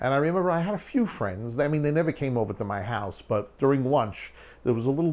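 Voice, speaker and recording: Speaking at a moderate pace in a Brooklyn accent, this voice swings very widely in pitch. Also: man. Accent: New York (Brooklyn). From New York, Long Island (West Hempstead). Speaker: documentary filmmaker. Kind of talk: documentary interview storytelling.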